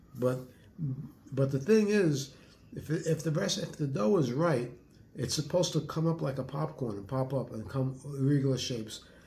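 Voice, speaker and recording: Amid audible room echo, a man with a fairly high pitch and a dark, mellow, somewhat breathy tone speaks at a moderate pace with lively intonation and long, frequent pauses. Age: 70s. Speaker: retired home cook, host's father. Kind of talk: casual chat, taste testing. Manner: halting, repeats words.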